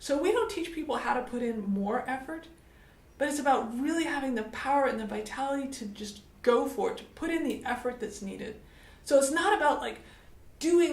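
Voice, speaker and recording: A woman with an American accent speaks at high pitch with lively intonation, and audible room echo can be heard. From United States. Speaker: business coach. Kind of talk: motivational talk to camera.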